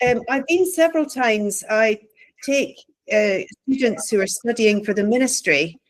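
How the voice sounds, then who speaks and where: A woman with a Scottish accent speaks at a moderate pace in a fairly high voice, her intonation lively and her loudness very even. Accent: Scottish, closer to Glaswegian than Edinburgh. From Scotland, Stirling. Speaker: theology professor and pastor. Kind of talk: casual chat.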